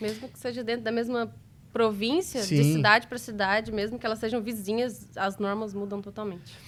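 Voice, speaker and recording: A woman's plain, everyday voice at a fairly quick pace, with ordinary pitch variation and big swings in loudness. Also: fairly high pitch for a woman. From interior of Minas Gerais, Brazil. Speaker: restaurant entrepreneur. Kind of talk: interview answer.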